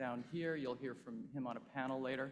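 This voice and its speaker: Amid audible room echo, a man speaks at medium pitch with fairly even intonation. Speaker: investment fund partner. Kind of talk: conference speech. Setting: stage with audience.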